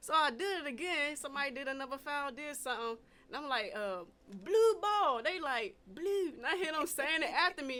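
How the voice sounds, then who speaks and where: Amid noticeable background noise, a woman with an American accent speaks at a moderate pace in a high, raised, projected voice, animated in tone, with very wide pitch swings. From Washington DC, later North Carolina. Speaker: podcast host. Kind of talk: casual chat. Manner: animated storytelling.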